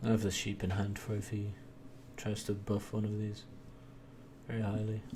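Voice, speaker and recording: In a room with audible echo, the voice moves at a moderate pace with a dark, mellow, somewhat breathy tone, monotone, flat intonation and long, frequent pauses. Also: man. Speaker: gaming video creator. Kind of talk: gameplay commentary. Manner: soft-spoken.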